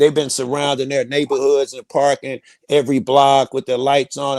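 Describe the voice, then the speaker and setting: A man with a fairly high pitch and an American accent, at a moderate pace, in a dry, close sound with no echo. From Chicago, West Side. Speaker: panel guest. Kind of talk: casual chat.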